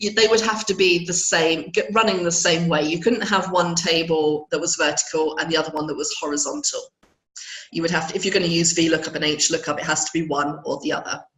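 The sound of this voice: A woman speaks at a fairly quick pace in a low, croaky voice with a fairly bright tone and fairly even intonation. Audible room echo surrounds her.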